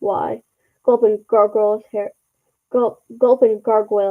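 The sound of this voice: Behind the voice, all is quiet. The reading is unforced.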